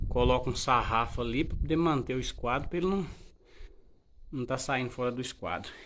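With long, frequent pauses between fairly quick stretches, a man talks with ordinary pitch variation over light background noise. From rural Brazil, born and raised on this farm. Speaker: vlogger, builder of his farm house; vlogger. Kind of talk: casual vlog, home building tour. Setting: outdoors on a farm. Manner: informal, filler-heavy. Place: open country. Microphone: phone near.

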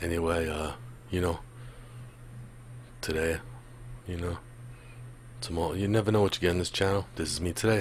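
Very deep and low, a man's voice carries vocal fry and ordinary pitch variation at a moderate pace, the sound dry with no echo and light background noise. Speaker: music reaction host. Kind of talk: casual vlog chat. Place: home room. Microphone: studio mic.

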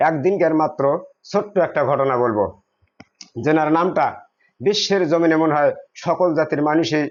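This man has a plain, everyday voice, fairly high in pitch, with ordinary pitch variation and very even loudness. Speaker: Sufi devotee speaking at a shrine gathering. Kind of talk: religious talk to a gathering. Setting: shrine gathering with audience.

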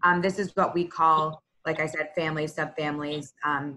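Her voice is very deep and low, with a bright, sharp tone. The woman speaks at a fairly quick pace. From Texas, Houston. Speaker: consultant; presenter. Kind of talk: corporate presentation. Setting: video call. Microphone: video call.

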